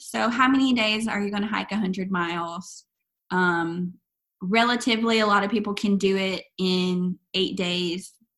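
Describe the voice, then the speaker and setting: A woman speaks fairly slowly in an unremarkable speaking voice with an American accent. Her medium pitch holds fairly even intonation. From US South, East Arkansas. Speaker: long-distance hiker. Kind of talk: interview.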